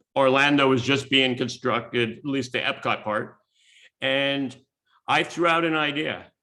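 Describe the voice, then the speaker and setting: A man's fairly high, bright, sharp voice at a fairly slow pace, with fairly even intonation. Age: 70s. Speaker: speaker and author on creativity. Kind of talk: seminar talk.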